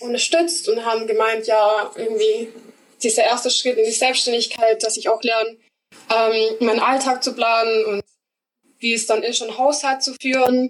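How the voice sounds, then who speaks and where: A woman with a fairly high pitch speaks with fairly even intonation in a normal speaking voice. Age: 20s. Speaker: apprentice. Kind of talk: casual interview.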